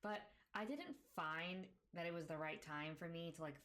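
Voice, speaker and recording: Audible room echo around a woman's very deep, low voice. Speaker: k-pop podcaster. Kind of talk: casual chat. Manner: fast.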